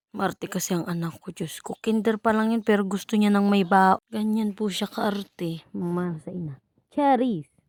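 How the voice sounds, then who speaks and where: On a very clean recording with a silent background, a woman with an unremarkable speaking voice talks at a moderate pace with medium pitch and ordinary pitch variation, the sound dry and close with no echo. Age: 20s. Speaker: vlogger, mother. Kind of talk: casual vlog narration. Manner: playful, self-mocking.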